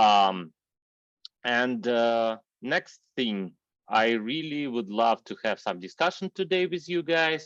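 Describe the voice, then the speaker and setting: With a non-native accent, a man at medium pitch speaks very slowly with very wide pitch swings, the sound dry and close with no echo over a quiet background. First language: not English. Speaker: software engineer and workshop speaker. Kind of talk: online technical workshop. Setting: video call. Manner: halting, many fillers.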